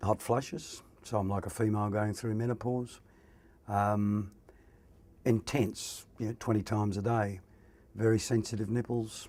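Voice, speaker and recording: A man with an Australian accent speaks at a fairly low pitch and a moderate pace, with long, frequent pauses. His tone is dark and mellow, and his intonation monotone and flat. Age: 60s. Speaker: prostate cancer patient. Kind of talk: testimony.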